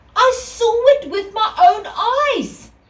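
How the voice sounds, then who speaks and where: A woman does a squeaky, put-on character voice at an extremely high pitch. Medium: read story. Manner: enthusiastic, admiring.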